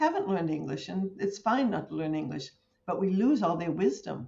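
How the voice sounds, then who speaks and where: Her voice comes out somewhat breathy. The woman's pitch is medium. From English-speaking country. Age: 70s. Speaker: counseling community leader. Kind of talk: interview.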